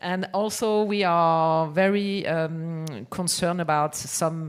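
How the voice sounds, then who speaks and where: The speaker has a French accent. The intonation is fairly even. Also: woman. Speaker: music publisher. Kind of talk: conference panel talk. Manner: halting, many fillers and restarts.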